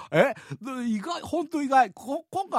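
Against a quiet background, a man speaks. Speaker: radio host. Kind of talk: radio talk show reading listener letters. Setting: studio.

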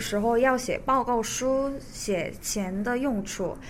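A woman speaks with a fairly high pitch. Room echo is audible. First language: Korean (speaking Chinese). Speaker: recent graduate, law office employee. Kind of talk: radio interview.

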